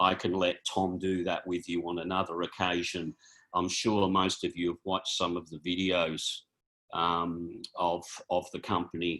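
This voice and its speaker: With an Australian accent, a man talks in a very deep, low voice that has a bright, sharp tone and flat, monotone intonation. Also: moderate pace. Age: 60s. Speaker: chiropractor and naturopath. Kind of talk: informal presentation. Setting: video call. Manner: hesitant, many fillers.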